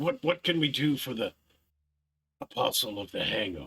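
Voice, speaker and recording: A man puts on a raspy character voice with a fairly high pitch. He speaks at a moderate pace. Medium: actual play. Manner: formal, faintly ominous.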